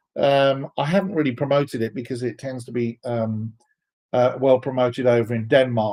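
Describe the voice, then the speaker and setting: In a very clean recording with a silent background, a man talks with a British accent. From England, London. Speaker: software developer advocate, live stream host. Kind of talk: live stream Q&A reading chat. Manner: casual, hesitant with fillers.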